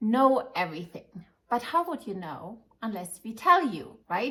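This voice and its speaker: Very slow speech in a German accent. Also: woman. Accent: German accent, lasting. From Germany, Munich. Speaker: wig shop owner and advisor. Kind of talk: informative video talk to customers. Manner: halting, many fillers.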